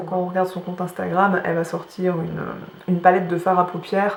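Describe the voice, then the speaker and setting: The clip carries audible room echo and noticeable background noise. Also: woman. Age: 30s. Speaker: beauty vlogger. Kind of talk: casual chat. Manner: hesitant, many fillers.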